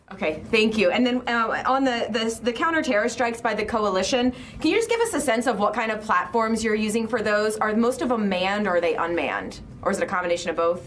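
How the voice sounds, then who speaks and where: Amid noticeable background noise, a woman talks very fast at a fairly high pitch, with very even loudness and ordinary pitch variation. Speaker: journalist. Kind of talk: press briefing question.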